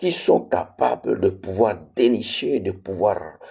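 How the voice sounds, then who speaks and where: A man speaks with a slight non-native accent at a fairly low pitch. His pace is fairly slow and his pitch variation ordinary. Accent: slightly non-native French. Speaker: preacher. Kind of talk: sermon. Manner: repetitive, emphatic.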